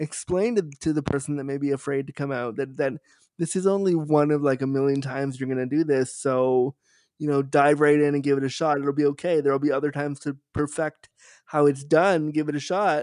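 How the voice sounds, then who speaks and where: This man has an ordinary speaking voice with a Canadian accent, a fairly high pitch, fairly even intonation and a fairly quick pace. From Canada. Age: 30s. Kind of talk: interview.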